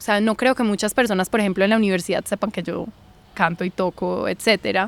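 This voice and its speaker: The recording is dry and close, with no echo. A woman talks at a medium pitch. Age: 20s. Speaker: journalist and university student. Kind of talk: podcast interview. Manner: hesitant, with fillers.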